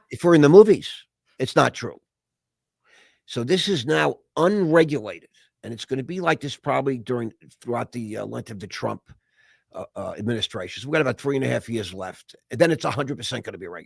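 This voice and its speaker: With a medium pitch, very wide pitch swings, vocal fry and big swings in loudness, a man talks at a very fast pace yet with long, frequent pauses, in a dry, close sound with no echo. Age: 60s. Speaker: investor and entrepreneur. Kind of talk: casual chat. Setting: podcast interview.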